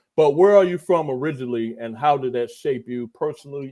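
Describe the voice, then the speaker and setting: In an American accent, a man talks at a very fast pace with a medium pitch and a dark, mellow tone. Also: very clean recording, silent background. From Texas. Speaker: interview podcast host. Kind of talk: interview.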